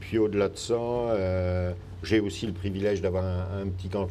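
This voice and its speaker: Through audible room echo, a man with a very deep, low pitch and a dark, mellow tone talks at a fairly slow pace with fairly even intonation. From France. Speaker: politician. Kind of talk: interview. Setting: live broadcast in a parking lot.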